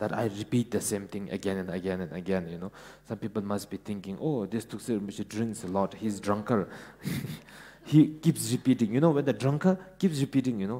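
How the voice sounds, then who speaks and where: With a Ladakh accent, a man speaks at a fairly low pitch. His tone is dark and mellow, with ordinary pitch variation. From Ladakh, India. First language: Ladakhi. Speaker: Buddhist teacher. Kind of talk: dharma talk. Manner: halting, many fillers.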